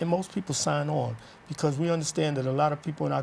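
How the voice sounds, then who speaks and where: A somewhat breathy man at a fairly high pitch, very fast pace and fairly even intonation. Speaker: formerly incarcerated community organizer. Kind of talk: interview, personal testimony. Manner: casual, conversational.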